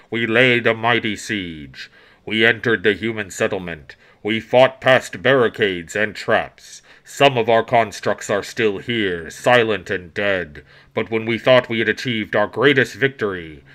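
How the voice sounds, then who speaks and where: Putting on a rumbling character voice at medium pitch, a man talks at a moderate pace in a very clean recording with a silent background. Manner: bleak, solemn.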